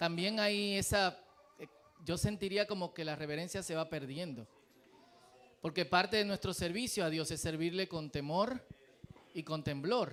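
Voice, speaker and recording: This man talks at a moderate pace, with long, frequent pauses. His pitch varies in an ordinary way. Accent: Dominican. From Dominican Republic. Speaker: pastor. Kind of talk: sermon. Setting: church.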